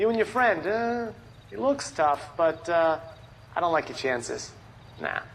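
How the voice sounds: A put-on character voice with vocal fry, big pitch swings and a fairly slow pace. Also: man, fairly high pitch for a man.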